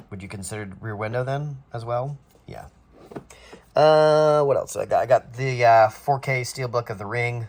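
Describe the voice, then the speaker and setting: A somewhat breathy man's voice jumps between loud and soft in big swings. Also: medium pitch for a man, ordinary pitch variation. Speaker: YouTuber showing film collection. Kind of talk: casual collection showcase. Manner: fast.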